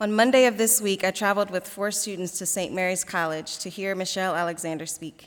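Talking at a very fast pace with hardly any pauses, a woman keeps a medium pitch and fairly even intonation. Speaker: diversity programs coordinator. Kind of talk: moderating a campus assembly. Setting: stage with audience.

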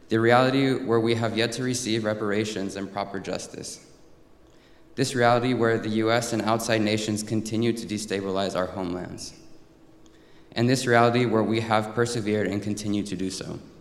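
Audible room echo surrounds a voice that moves at a fairly quick pace with monotone, flat intonation. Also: man, medium pitch for a man. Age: 20s. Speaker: college student. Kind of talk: speech. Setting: chapel with audience.

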